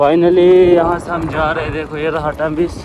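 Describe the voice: Against audible room echo, a man with a fairly high voice talks at a moderate pace with little pitch movement.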